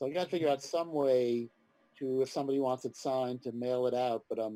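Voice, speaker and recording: A man's dark, mellow tone carries fairly even intonation in a dry, close sound with no echo. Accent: New York. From New York City (Manhattan). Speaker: comics writer and editor. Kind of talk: interview.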